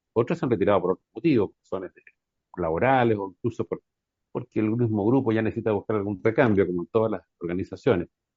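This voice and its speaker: Someone speaks at a very fast pace in a Chilean accent with ordinary pitch variation. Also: man, fairly low pitch for a man. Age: 60s. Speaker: folk singer. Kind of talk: radio interview.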